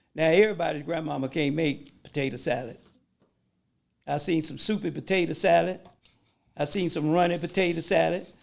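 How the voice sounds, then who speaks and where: A man with a fairly high voice and vocal fry speaks at a fairly quick pace, with ordinary pitch variation and long, frequent pauses. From Atlanta, Georgia. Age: 70s. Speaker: business owner and war veteran. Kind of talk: casual chat.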